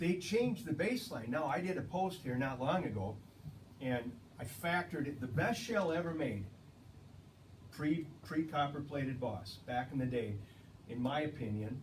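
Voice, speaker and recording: With audible room echo, a fairly high-pitched man speaks in lively intonation, leaving long, frequent pauses. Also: moderate pace. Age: 60s. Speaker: ammunition company guest. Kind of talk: casual interview chat.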